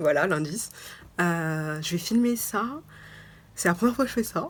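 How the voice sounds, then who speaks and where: A woman's fairly low-pitched voice with ordinary pitch variation, in a very clean recording with a silent background. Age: 20s. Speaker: lifestyle vlogger. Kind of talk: casual vlog talk. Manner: halting, many fillers.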